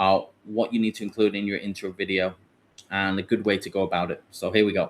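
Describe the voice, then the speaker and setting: In a very clean recording with a silent background, someone with a British accent speaks at a moderate pace. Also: man. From Britain. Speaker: online English teacher and platform founder. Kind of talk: live Q&A tutorial. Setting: livestream with screen share. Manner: hesitant, many fillers and restarts.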